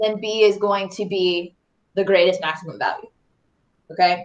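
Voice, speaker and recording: A woman speaks in an animated tone. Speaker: math teacher. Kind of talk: live online review lesson. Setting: online class with screen share. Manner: casual, chatty; loud, animated.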